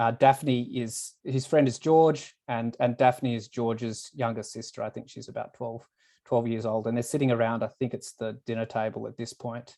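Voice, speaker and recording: The speaker talks with an Australian accent. The pace is moderate. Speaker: reader discussing a novel. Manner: hesitant, uses fillers.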